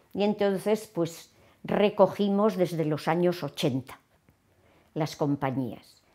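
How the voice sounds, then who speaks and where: Over a quiet background, a woman with a fairly low pitch and a dark, mellow tone speaks at a very slow pace, taking long, frequent pauses, with ordinary pitch variation. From Navarre, Spain (Tudela); Navarre, Spain. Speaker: retired theatre teacher. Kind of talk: interview. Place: home room. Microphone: lapel.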